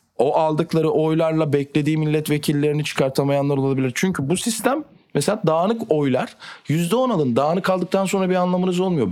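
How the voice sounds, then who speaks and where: Fairly high in pitch, a man speaks at a fairly quick pace in a normal speaking voice. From Turkey. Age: 20s. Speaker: politician. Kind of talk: interview.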